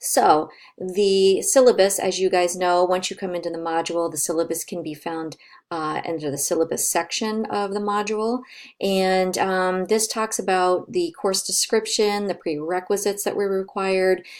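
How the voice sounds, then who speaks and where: Spoken at a moderate pace with fairly even intonation, this is a normal speaking voice. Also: woman, medium pitch for a woman. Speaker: college professor. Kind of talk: recorded online course announcement. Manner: casual, many fillers.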